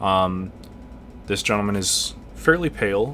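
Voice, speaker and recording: A man mumbles in a very deep, low pitch. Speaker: let's play gamer. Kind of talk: casual gameplay commentary. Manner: hesitant, mumbling.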